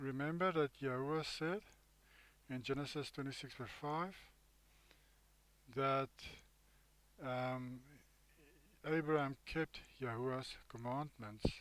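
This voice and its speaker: A man speaks at a very slow pace in a fairly high pitch, with an Afrikaans South African accent. His intonation is fairly even, broken by long, frequent pauses. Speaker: bible teacher. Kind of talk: bible study commentary. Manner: halting.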